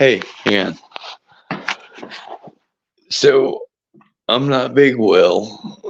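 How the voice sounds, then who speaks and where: The speech comes at a very slow pace, broken by long, frequent pauses. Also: man. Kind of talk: casual chat. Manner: halting.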